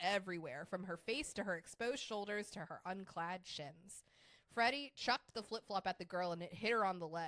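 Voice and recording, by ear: The speaker is reading aloud in a natural voice. The pitch variation is ordinary.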